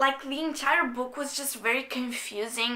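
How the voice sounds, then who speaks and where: With a non-native accent, a woman speaks in a raised, projected voice, high in pitch, her intonation fairly even. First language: not English. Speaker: book reviewer. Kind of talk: casual talk to camera.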